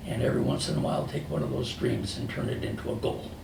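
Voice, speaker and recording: A man speaks at a moderate pace, with noticeable background noise and audible echo in the room. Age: 80s+. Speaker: retired business founder. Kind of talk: motivational talk. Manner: conversational storytelling.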